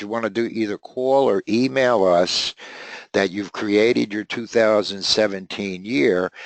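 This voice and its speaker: A man talks at a fairly slow pace and a fairly low pitch, with ordinary pitch variation and an unremarkable speaking voice. The sound is dry and close, with no echo. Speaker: software trainer. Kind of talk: webinar tutorial. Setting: webinar.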